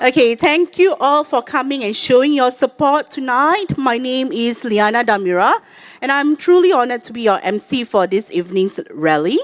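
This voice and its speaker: A woman's high pitch with very wide swings, in a dry, close sound with no echo. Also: moderate pace. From Singapore. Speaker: rally emcee and political candidate. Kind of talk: event hosting. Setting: outdoor rally on a field.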